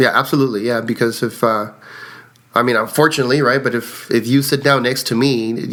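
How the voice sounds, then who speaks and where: With a Spanish accent, a man speaks at a fairly quick pace in a monotone, flat intonation. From Mexico. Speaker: card counter. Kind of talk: interview.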